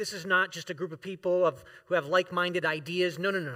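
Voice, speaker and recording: A man speaks in a raised, projected voice with a high pitch and a bright, sharp tone, moving at a moderate pace with ordinary pitch variation. The recording is very clean, dry and close, with a silent background and no echo. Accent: American. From US South, Florida. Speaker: guest preacher and professor. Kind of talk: sermon. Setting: church.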